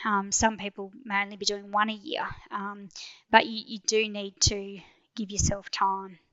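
A woman with an Australian accent speaks at a moderate pace and medium pitch, her intonation monotone and flat. Her loudness swings widely, and she takes long, frequent pauses. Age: 40s. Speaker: endurance mountain biker. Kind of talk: interview.

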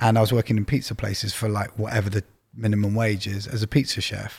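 A man talks at a fairly quick pace with a London accent, his voice somewhat breathy. The recording is very clean, with a silent background. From North London, England. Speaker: record label executive. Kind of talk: casual chat. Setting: studio.

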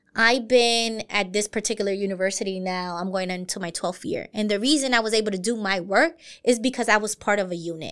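In a normal speaking voice with an American accent, a woman of medium pitch talks at a fairly quick pace with ordinary pitch variation, on a very clean recording with a silent background. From US, Brooklyn, New York. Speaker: university diversity director. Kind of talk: interview.

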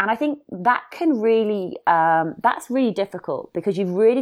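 Over a quiet background, a woman talks at a moderate pace with a British accent. Her intonation is lively. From northwest England, near Liverpool. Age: 30s. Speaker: podcaster and long-distance hiker. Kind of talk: casual interview chat.

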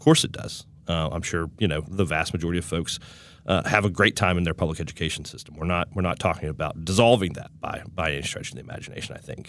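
In an Appalachian accent, a man with a very deep, low pitch talks at a very fast pace, using ordinary pitch variation and big swings in loudness. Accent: Appalachian American. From West Virginia. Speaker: state director of a political advocacy group. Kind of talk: interview.

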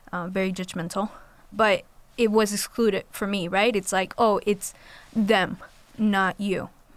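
Speaking with a Spanish accent, a woman keeps a moderate pace. Her intonation is monotone and flat. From Colombia. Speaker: college student. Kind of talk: panel discussion.

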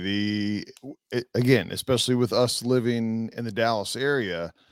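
A man with an ordinary speaking voice talks at a fairly slow pace in a medium pitch with ordinary pitch variation. The recording is very clean, with a silent background. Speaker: podcast host. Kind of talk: casual sports podcast chat.

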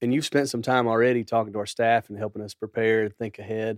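A man with a plain, everyday voice at a medium pitch talks at a fairly quick pace, recorded very cleanly with a silent background and a dry, close sound with no echo. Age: 50s. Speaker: church staff co-host. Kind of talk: podcast interview. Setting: studio.

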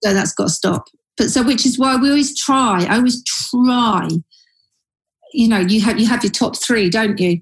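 In a London accent, a woman at a fairly high pitch speaks at a moderate pace, with ordinary pitch variation and very even loudness. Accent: London-sounding. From Surrey, southern England. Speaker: advertising creative director. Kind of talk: casual interview chat.

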